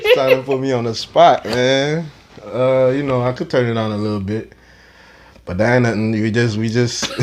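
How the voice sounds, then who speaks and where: A man with a slight Saint Lucian accent speaks at a moderate pace and a medium pitch, with ordinary pitch variation. Background noise is noticeable. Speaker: cannabis club founder. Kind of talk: casual interview. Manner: laid-back.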